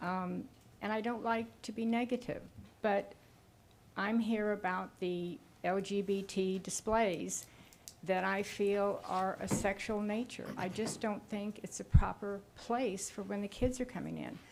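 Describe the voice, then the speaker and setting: Soft-spoken and fairly slow, this woman talks at a medium pitch with fairly even intonation. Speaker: public commenter at county meeting. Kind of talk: public comment. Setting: public meeting room. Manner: halting.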